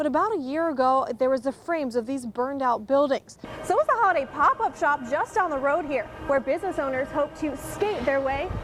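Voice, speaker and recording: Noticeable background noise accompanies a woman speaking at a fairly quick pace. Her high-pitched voice carries lively intonation. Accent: American. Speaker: television news reporter and anchor. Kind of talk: TV news reporting.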